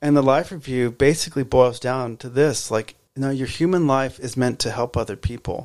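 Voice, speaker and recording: In a normal speaking voice, a man with an American accent talks at a medium pitch and moderate pace with ordinary pitch variation, on a very clean recording with a silent background. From Texas. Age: 40s. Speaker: musician. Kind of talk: casual chat.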